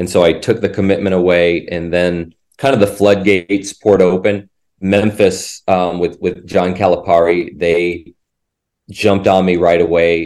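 A man's very deep, low voice with an American accent, flat and monotone, at a moderate pace against a quiet background. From Indiana. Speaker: college basketball assistant coach. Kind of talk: casual interview.

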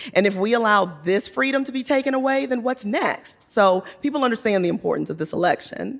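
An unremarkable speaking voice, a woman's, fairly high-pitched and fairly quick with lively intonation and hardly any pauses. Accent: American. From Virginia (Hopewell). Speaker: political candidate. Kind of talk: live panel interview. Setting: stage with audience.

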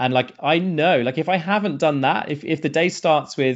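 A man speaks with a British accent. His intonation is lively. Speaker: productivity trainer, company founder. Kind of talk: interview.

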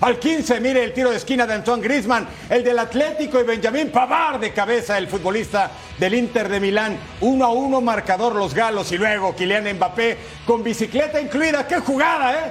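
Amid noticeable background noise, a man with an extremely high pitch speaks at a moderate pace with ordinary pitch variation. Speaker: sports radio host. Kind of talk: sports commentary and show hosting.

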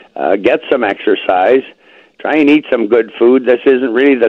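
A man with a Canadian accent, medium pitch and a plain, everyday voice, at a fairly slow pace with ordinary pitch variation. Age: 60s. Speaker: health product user giving testimonial. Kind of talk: testimony.

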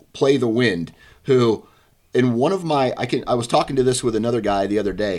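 A man at medium pitch with lively intonation and a moderate pace, in a very clean recording with a silent background. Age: 40s. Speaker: hunting podcast host. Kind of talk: casual interview. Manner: halting, many repetitions.

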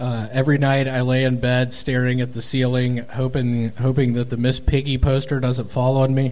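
A man's medium-pitched, monotone, flat delivery at a moderate pace with hardly any pauses and noticeable background noise. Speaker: stand-up comedian. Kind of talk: live comedy show banter. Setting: stage with audience.

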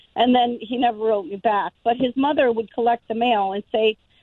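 A woman with a plain, everyday voice speaks in an American accent at a fairly high pitch with ordinary pitch variation. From Denver, Colorado. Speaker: caller. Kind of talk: casual chat.

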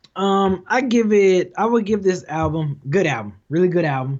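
A man with an American accent and a high pitch, his voice making very wide pitch swings. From Detroit. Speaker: hip hop YouTuber. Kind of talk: casual chat.

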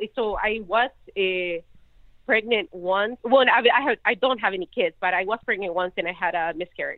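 A woman with a Chilean accent speaks at a fairly quick pace. Her medium pitch shows ordinary variation. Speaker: caller. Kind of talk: casual chat. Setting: phone call.

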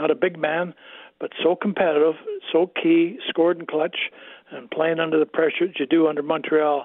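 This man has a Canadian accent and a high pitch. He keeps a monotone, flat intonation at a moderate pace. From Canada, Winnipeg. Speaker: retired NHL player. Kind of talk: radio interview.

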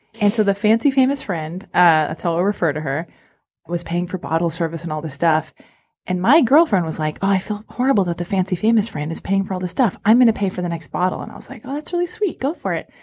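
Very fast, somewhat breathy speech with lively intonation in an American accent, on a very clean recording with a silent background. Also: woman, medium pitch for a woman. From Los Angeles, US. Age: 30s. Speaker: podcast host. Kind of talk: casual chat. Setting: studio.

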